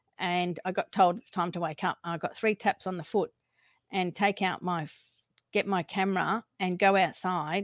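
A woman with an Australian accent speaks at a moderate pace in a medium pitch with fairly even intonation. The recording is very clean with a silent background and a dry, close sound with no echo. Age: 50s. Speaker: alien contact experiencer. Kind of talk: interview testimony. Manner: halting.

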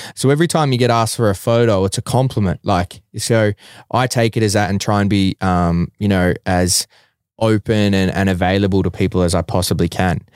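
A man with an Australian accent speaks at fairly low pitch with ordinary pitch variation and very even loudness. The recording is very clean, with a silent background. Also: dry, close sound with no echo. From Australia, Bacchus Marsh, Victoria. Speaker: professional mixed martial arts fighter. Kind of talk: casual chat.

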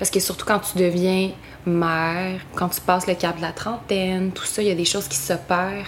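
A woman speaks with a Quebec accent at medium pitch and a moderate pace, her intonation monotone and flat. Noticeable background noise sits behind her. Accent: Québécois French. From Quebec, West Island of Montreal. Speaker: singer-songwriter. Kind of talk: interview. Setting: at home.

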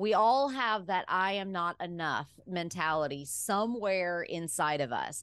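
A woman with an American accent has a normal speaking voice at medium pitch. Her pace is fairly slow, with hardly any pauses. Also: lively intonation. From Alabama, US South. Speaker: pharmacist and wellness speaker. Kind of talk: casual interview chat.

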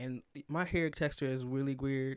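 A man with an American accent speaks with fairly even intonation on a very clean recording with a silent background. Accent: Northern US, shifts to Southern around family. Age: 20s. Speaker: podcast co-host. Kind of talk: casual conversation podcast.

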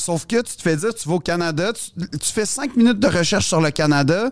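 A man with a high voice speaks fairly quickly, his intonation lively. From Quebec, Montreal West Island. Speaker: comedian. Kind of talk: casual chat.

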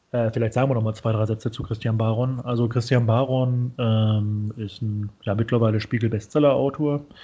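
A somewhat breathy voice in a flat monotone. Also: man. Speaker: podcast host. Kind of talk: casual interview chat. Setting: video call.

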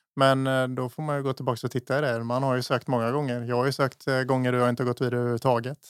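Barely pausing, a man of medium pitch talks very fast with a monotone, flat intonation. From Småland, Sweden (Eksjö). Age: 30s. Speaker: chef and restaurant owner. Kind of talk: casual interview. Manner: halting.

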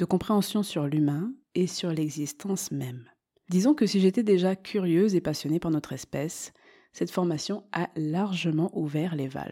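This woman speaks at a moderate pace with a fairly low pitch, a dark, mellow tone and a calm tone, and her pitch varies in an ordinary way. The recording is very clean, with a silent background. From southern France, Marseille. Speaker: podcast host, meditation teacher. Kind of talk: scripted monologue.

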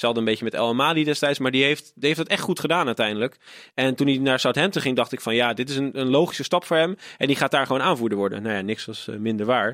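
Words come out very fast. The pitch moves in an ordinary way. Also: man, medium pitch for a man. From Netherlands, Rotterdam. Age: 20s. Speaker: podcaster and football fan. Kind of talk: casual chat.

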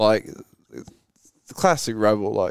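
The words come very slowly. An American accent marks the speech. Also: man. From England. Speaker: fitness app developer. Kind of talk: casual chat. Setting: outdoors.

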